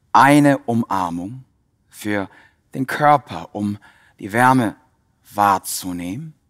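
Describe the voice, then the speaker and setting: A man talks at a very slow pace with long, frequent pauses and a fairly low pitch. His tone is calm and soothing, and the background is quiet. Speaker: yoga teacher. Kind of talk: guided meditation. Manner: calm, rhythmic, reflective; slow, soothing, repetitive phrasing. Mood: calm, warm, heartfelt. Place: hall. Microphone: headset.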